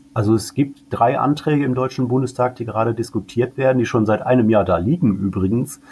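A man's medium-pitched, somewhat breathy voice with a dark, mellow tone, ordinary pitch variation, a fairly quick pace, and hardly any pauses. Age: 40s. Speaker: cannabis advocacy group director. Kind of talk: interview.

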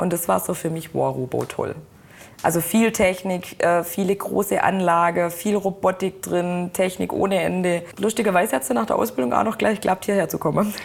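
Her voice has a fairly low pitch and vocal fry. The woman talks at a moderate pace with ordinary pitch variation. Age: 20s. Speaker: production supervisor in car manufacturing. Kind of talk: interview.

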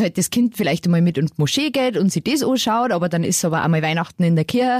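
Somewhat breathy, a woman speaks with ordinary pitch variation in a dry, close sound with no echo. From Lower Bavaria, Germany. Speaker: podcast co-host, mother. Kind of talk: casual chat. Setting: studio.

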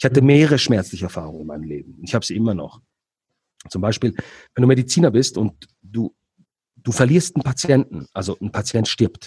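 The voice has a dark, mellow tone with vocal fry and very wide pitch swings, moving at a fairly quick pace but broken by long, frequent pauses. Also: man, medium pitch for a man. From Switzerland. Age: 40s. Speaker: entrepreneur and negotiator, former radiologist. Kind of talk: interview.

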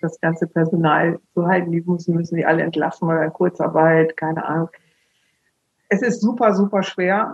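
Speaking at a moderate pace, a woman with a fairly low pitch and an unremarkable speaking voice keeps her intonation fairly even. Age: 50s. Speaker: funeral speaker. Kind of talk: interview.

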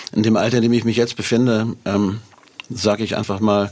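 The man's pitch sits fairly low. He keeps to a moderate pace. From northern Germany, near Hanover. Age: 60s. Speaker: musician. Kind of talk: casual interview.

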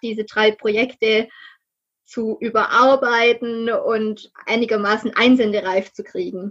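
A woman's ordinary speaking voice, fairly high in pitch and fairly even in intonation, at a fairly slow pace. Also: quiet background. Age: 30s. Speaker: novelist. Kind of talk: interview.

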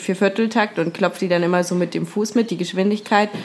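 Noticeable background noise behind a woman at medium pitch, fairly quick in pace, with fairly even intonation. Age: 20s. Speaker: trained singer. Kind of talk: casual chat.

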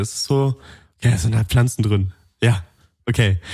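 You hear a man talking. There's a somewhat breathy quality to how he sounds. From Allgäu, Bavaria. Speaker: podcast co-host. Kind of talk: casual chat. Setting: studio.

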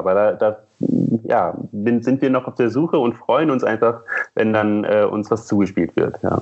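With ordinary pitch variation, this man speaks in a medium pitch. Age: 30s. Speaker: museum curator. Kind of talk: interview. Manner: hesitant, many fillers.

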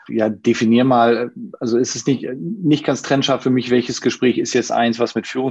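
In a plain, everyday voice, a man talks at a moderate pace and a medium pitch. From northern Germany, Schleswig-Holstein. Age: 50s. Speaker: managing director of a banking consultancy. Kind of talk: online panel discussion.

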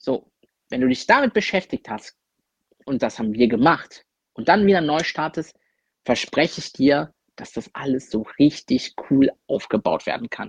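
A man's fairly high voice with lively intonation, big swings in loudness and long, frequent pauses, in a dry, close sound with no echo. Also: fairly slow pace. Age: 20s. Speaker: content creator. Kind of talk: recorded monologue.

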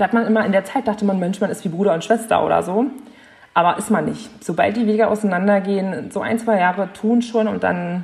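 Against noticeable background noise, a woman talks at a fairly quick pace. Her pitch is medium and her intonation fairly even. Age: 20s. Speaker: young mother. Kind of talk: casual chat.

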